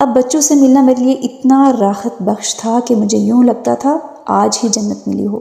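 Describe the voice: A woman's dark, mellow voice with vocal fry and fairly even intonation. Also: fairly high pitch for a woman, moderate pace.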